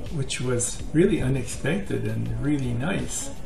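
Clear music sits in the background while a man speaks neither fast nor slow. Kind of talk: casual tutorial talk. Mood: calm, friendly advice. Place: kitchen. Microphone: webcam.

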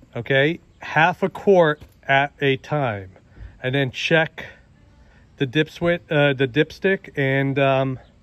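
Over a dry sound with no echo, a man speaks at a very slow pace with ordinary pitch variation. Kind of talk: tutorial. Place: garden. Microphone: phone near.

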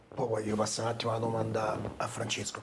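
A man at a medium pitch talking very fast, with light background noise. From Rome (Trastevere), Italy; Italy. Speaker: talk show host. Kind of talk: casual chat. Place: studio.

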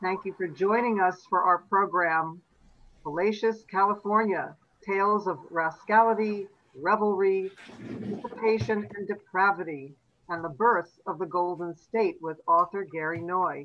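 A woman with a plain, everyday voice, medium in pitch, at a fairly slow pace with ordinary pitch variation. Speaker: events director, host. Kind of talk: event introduction.

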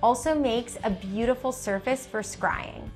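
Faint music plays behind a woman. She speaks at a high pitch and a fairly slow pace. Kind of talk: informational presentation. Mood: warm, smiling. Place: home room.

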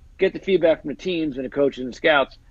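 In a dry sound with no echo, a man speaks at a very fast pace with ordinary pitch variation. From New Jersey. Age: 40s. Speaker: NFL agent and actor; actor. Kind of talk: casual chat. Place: home room. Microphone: earbuds.

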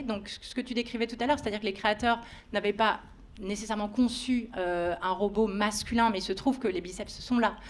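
Her intonation fairly even, a woman talks at a moderate pace in a fairly high voice. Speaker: debate moderator, philosophy PhD student. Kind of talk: panel debate. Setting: stage with audience. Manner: halting. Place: stage. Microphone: handheld.

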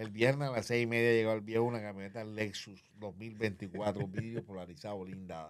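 In an unremarkable speaking voice, a man with a fairly low pitch and fairly even intonation keeps a moderate pace with hardly any pauses over light background noise. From Colombia, Barranquilla (Caribbean coast); Colombia. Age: 60s. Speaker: comedian and former media personality; comedian. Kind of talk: interview, life story. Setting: studio. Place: studio. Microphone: studio mic.

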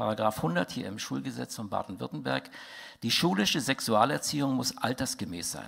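Vocal fry runs through speech at a moderate pace over a quiet background. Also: man. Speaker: conference speaker. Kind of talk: lecture. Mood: indignant, critical. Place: hall. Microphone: headset.

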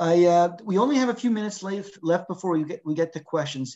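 This man's voice sits high in pitch, with ordinary variation. He talks at a fairly quick pace. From Quebec. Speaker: professor and panel moderator; professor, panel moderator. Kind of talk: panel discussion. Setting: video call. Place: home room. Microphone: video call.

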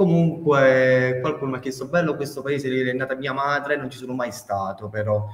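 A man talks at a fairly quick pace with hardly any pauses, at a medium pitch with ordinary pitch variation. His loudness swings widely. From Campania, Petina in Salerno province. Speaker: digital artist. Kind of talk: interview. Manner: halting.

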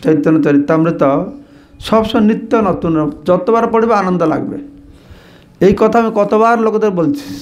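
Audible room echo surrounds this voice. A man speaks at a high pitch with lively intonation. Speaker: monk giving scripture lectures. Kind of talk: religious scripture lecture.

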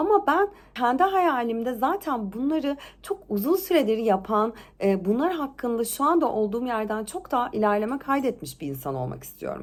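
A woman with a fairly high pitch talks in an animated way at a moderate pace, her pitch swinging very widely. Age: 30s. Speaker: lifestyle vlogger. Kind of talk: casual vlog monologue. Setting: at home.

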